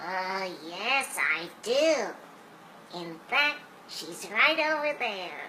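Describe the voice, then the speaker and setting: A female-sounding voice performs a cartoonish character at medium pitch, with very wide pitch swings, at a very slow pace. Clear background noise is present. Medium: puppet show.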